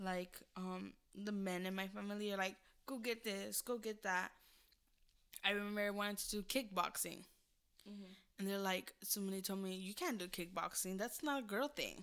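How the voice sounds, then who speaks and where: This is an ordinary speaking voice with an American accent. The intonation is fairly even and the pace moderate. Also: woman, medium pitch for a woman. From California. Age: 20s. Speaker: podcast co-host. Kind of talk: casual chat.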